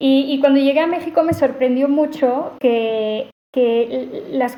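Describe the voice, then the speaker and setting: This woman has a high-pitched voice. She speaks with a non-native accent. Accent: foreign accent in Spanish. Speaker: AI ethics researcher. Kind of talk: podcast interview.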